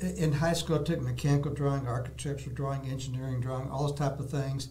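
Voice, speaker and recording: A man's very fast, monotone, flat delivery with a Texan accent and a fairly high pitch, with audible room echo and noticeable background noise. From Texas, Dallas. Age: 70s. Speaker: artist, retired salesman. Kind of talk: interview, casual chat. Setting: studio.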